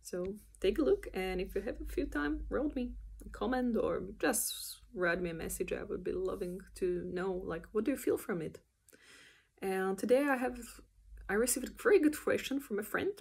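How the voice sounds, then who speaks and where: Delivered at a moderate pace, the speech carries a non-native accent. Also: woman. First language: not English. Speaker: animator. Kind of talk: casual vlog explanation. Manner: hesitant, with many fillers.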